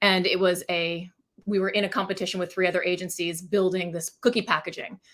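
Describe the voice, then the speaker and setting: Speaking at a fairly quick pace, a woman keeps a monotone, flat intonation. The recording is very clean and the background silent. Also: medium pitch for a woman. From Maine, US. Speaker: packaging design agency founder. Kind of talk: interview. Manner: fast.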